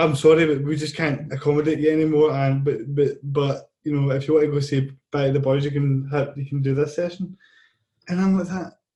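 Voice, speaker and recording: A man in a Scottish accent, dark and mellow in tone, somewhat breathy, with monotone, flat intonation and a fairly quick pace. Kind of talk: casual chat.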